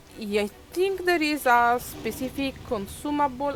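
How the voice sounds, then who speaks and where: Her pace is fairly slow. This woman speaks with lively intonation. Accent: non-native. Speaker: video game streamer. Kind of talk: live gameplay commentary. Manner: halting, many fillers.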